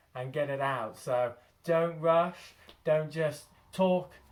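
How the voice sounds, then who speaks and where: Recorded very cleanly against a silent background, a man with an ordinary speaking voice speaks with a fairly high pitch and fairly even intonation. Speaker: early childhood educator. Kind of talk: tutorial.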